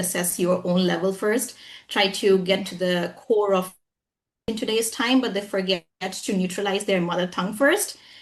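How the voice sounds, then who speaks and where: Fairly even intonation marks a woman's somewhat breathy speech. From India, Jharkhand. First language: Hindi. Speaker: English trainer. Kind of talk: interview.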